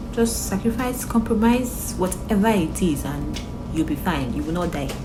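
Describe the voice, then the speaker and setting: Music plays in the background as a woman speaks at a moderate pace, with audible room echo. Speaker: motivational vlogger. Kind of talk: motivational talk to camera. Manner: casual, filler-heavy.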